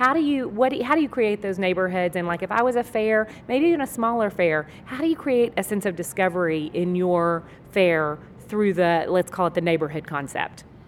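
Speaking fairly quickly with lively intonation, a woman with an American accent uses a normal speaking voice at a medium pitch. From Texas. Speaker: podcast host, marketing business owner. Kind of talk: interview. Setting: convention booth.

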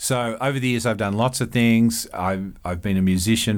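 With an Australian accent, a man talks at a moderate pace with ordinary pitch variation. Room echo is audible. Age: 50s. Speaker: psychology professor. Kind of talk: interview. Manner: repeats words, hesitant.

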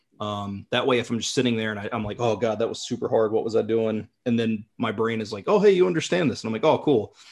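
Speaking at a very fast pace, a man leaves hardly any pauses. His voice sits at a medium pitch and shows ordinary pitch variation. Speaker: language learner, content creator. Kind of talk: casual chat.

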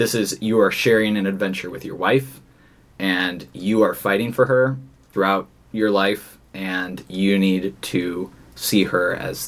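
Speaking in a normal speaking voice, a man goes at a fairly slow pace with fairly low pitch, ordinary pitch variation and big swings in loudness. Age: 20s. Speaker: investment consultant. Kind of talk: casual chat. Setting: studio.

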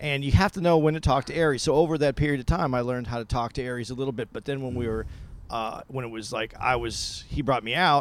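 Speaking at a very fast pace, a man uses a medium pitch with ordinary pitch variation. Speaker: podcast co-host. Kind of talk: casual chat.

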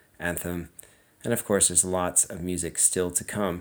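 In a very clean recording with a silent background, a man speaks in a very deep, low voice. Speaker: radio host. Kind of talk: radio DJ patter, back-announcing tracks and teasing upcoming sets. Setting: radio studio broadcast. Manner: smooth, friendly, measured broadcaster delivery.

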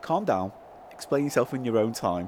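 Lively intonation marks this man's speech at a moderate pace and medium pitch. His tone is slightly mellow.

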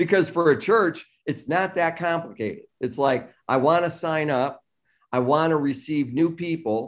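With an American accent, a man with a fairly high pitch speaks in an unremarkable speaking voice with ordinary pitch variation over a quiet background. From US Midwest, south Chicago suburbs. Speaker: tech company founder and CEO. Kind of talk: interview.

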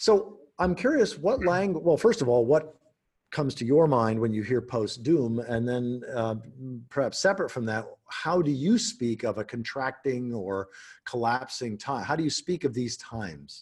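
A man speaks in a plain, everyday voice at a moderate pace, with a medium pitch and lively intonation. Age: 60s. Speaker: podcast host. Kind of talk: casual chat.

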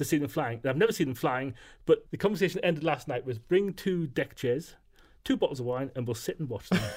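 Speaking very fast with lively intonation, a man with a fairly high, somewhat breathy voice is heard in a very clean recording with a silent background. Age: 50s. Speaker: radio producer. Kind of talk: casual chat.

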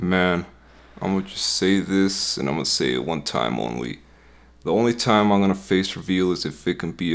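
With an American accent, a man speaks at a moderate pace in a very deep, low pitch and lively intonation. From US Midwest. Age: 20s. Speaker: music producer and YouTuber.

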